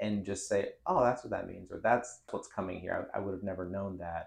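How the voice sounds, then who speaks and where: A man with a plain, everyday voice talks at a fairly low pitch and a fairly quick pace. His intonation is fairly even, with hardly any pauses. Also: big swings in loudness. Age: 30s. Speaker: local news newsletter founder. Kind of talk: casual interview. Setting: in-person studio.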